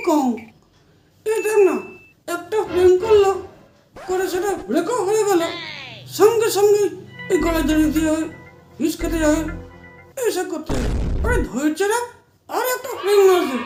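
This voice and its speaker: In a put-on character voice, a man speaks at a moderate pace. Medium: comedy sketch. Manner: earnest, preachy.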